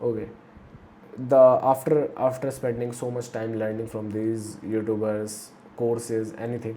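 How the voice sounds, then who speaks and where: A man at medium pitch, fairly slow and monotone with flat intonation, in audible room echo. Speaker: motivational youtuber. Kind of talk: casual monologue. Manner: halting.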